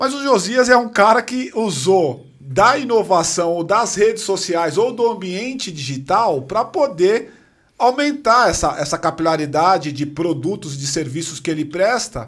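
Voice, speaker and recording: A man's high voice with very wide pitch swings, fairly slow delivery, and a quiet background. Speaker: podcast host. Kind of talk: casual interview. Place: studio. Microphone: studio mic.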